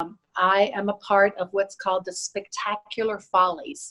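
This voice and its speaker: Speaking with an American accent, a woman uses an ordinary speaking voice at a medium pitch and a fairly slow pace. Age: 60s. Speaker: dancer and fitness instructor. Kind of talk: interview.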